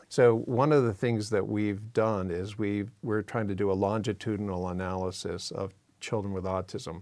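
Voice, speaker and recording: At a moderate speed, an unremarkable speaking voice comes through a very clean recording where the background is silent. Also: man. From Massachusetts. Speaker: neuroscience professor. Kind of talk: interview conversation.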